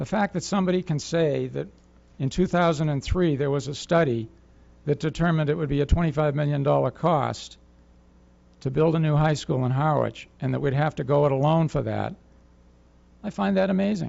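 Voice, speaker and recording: A man with a fairly high pitch speaks at a fairly quick pace, using ordinary pitch variation and long, frequent pauses. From Massachusetts. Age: 60s. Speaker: resident speaking at public comment. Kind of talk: public comment at town meeting. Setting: town board meeting.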